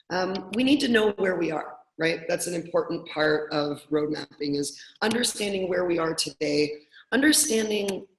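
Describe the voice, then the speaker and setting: A woman with a normal speaking voice talks at a moderate pace, with ordinary pitch variation. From Canada, Toronto. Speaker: product coach. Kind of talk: webinar presentation. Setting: online webinar call.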